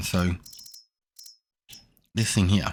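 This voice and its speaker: A man speaks quietly in a very deep, low voice with an Australian accent. His intonation stays fairly even. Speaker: gaming streamer. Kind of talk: gameplay commentary. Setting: home, son asleep nearby. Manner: quiet, subdued.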